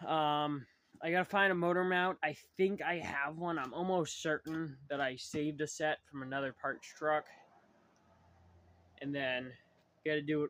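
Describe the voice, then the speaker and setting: A man at a fairly high pitch talks at a moderate pace with fairly even intonation. He takes long, frequent pauses in a dry, close sound with no echo. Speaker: DIY truck builder, channel owner. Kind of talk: casual workshop vlog. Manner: rambling, filler-heavy.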